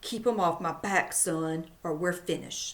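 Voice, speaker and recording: Using a put-on character voice, a woman speaks at a moderate pace in a fairly low pitch. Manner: urgent, serious.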